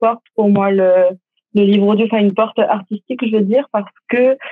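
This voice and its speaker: A woman's medium-pitched voice, an ordinary speaking voice, with fairly even intonation. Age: 20s. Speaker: actress and audiobook narrator. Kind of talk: interview.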